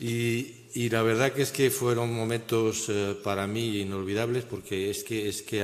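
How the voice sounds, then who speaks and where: A man talks in fairly even intonation, and the room echo is audible. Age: 70s. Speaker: economist and conference speaker. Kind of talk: conference talk. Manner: halting.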